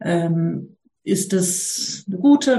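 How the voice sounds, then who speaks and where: A woman speaks with a dark, mellow tone at a medium pitch. Her voice is somewhat breathy. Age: 30s. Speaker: mother asking a parenting question. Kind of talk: casual chat. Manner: hesitant, many fillers.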